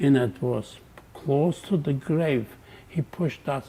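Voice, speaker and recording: A man with a fairly high pitch speaks very slowly in a dark, mellow tone that is somewhat breathy. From Poland. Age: 80s+. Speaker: Holocaust survivor. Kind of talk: interview answer.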